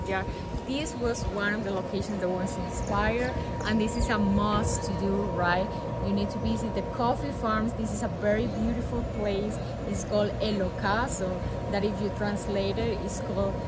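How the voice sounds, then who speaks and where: A woman speaks at a moderate pace. Loud background noise fills the recording. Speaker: travel vlogger. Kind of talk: casual vlog chat. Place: garden. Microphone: phone near.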